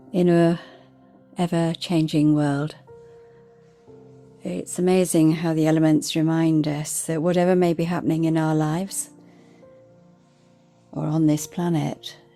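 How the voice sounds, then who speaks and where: Calm, gentle tone from a woman with very deep, low pitch and monotone, flat intonation, at a fairly slow pace with long, frequent pauses, music playing in the background. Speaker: meditation guide and podcast host. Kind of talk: guided meditation. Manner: calm, slow, gentle.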